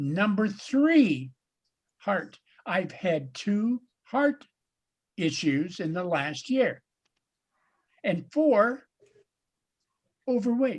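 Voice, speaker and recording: The speech moves at a very slow pace. Long, frequent pauses break it up. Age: 70s. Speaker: Lions club coordinator leading meeting. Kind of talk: casual meeting discussion. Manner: halting, repeats words.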